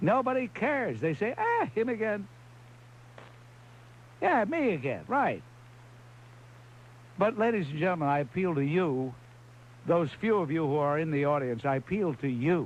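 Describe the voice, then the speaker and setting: Pausing long and often, a man speaks at a high pitch with very wide pitch swings. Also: moderate pace. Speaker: talk radio host. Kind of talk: call-in talk radio monologue. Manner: sarcastic, irritated, rhetorical.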